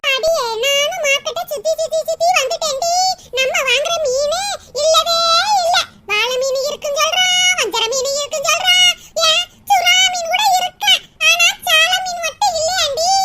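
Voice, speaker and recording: A cartoonish character voice at an extremely high pitch speaks at a fairly slow pace. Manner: scolding, grumbling.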